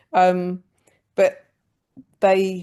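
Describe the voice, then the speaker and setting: A woman's dark, mellow voice with a West Country accent. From England, Gloucestershire. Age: 50s. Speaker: comedian. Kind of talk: podcast interview.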